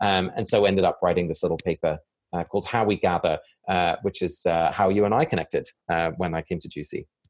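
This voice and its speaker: A man with an English accent at a very fast pace, in a dry, close sound with no echo. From England, village. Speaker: community researcher, divinity school fellow. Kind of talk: interview conversation.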